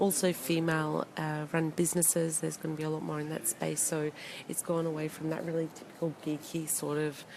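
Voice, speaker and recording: Over noticeable background noise, a woman talks at a fairly quick pace in a very deep, low voice. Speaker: e-commerce consultant. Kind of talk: casual live video talk. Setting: hotel, live video. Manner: quiet; hesitant, many fillers.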